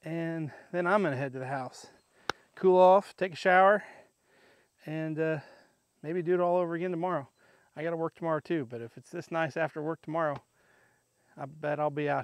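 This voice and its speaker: A man talks at a fairly quick pace with a fairly high pitch, ordinary pitch variation and big swings in loudness. He leaves long, frequent pauses, and the sound is dry and close with no echo. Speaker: firewood seller and vlogger. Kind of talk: casual vlog chat. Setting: outdoors.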